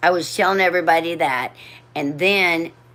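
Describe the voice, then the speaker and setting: Animated and bright with a sharp tone, a woman talks at a moderate pace with a very deep, low pitch. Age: 60s. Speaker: livestreamer. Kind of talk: casual storytelling. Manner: halting.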